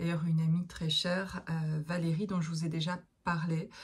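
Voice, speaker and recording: Somewhat breathy, a woman speaks with monotone, flat intonation. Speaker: therapist and medium. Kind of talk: casual monologue to viewers. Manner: hesitant, many fillers.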